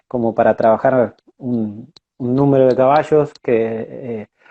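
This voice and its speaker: A man at medium pitch, talking at a fairly slow pace. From Argentina, Buenos Aires province countryside. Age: 30s. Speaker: horse trainer and rider. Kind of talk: interview. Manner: hesitant, many fillers.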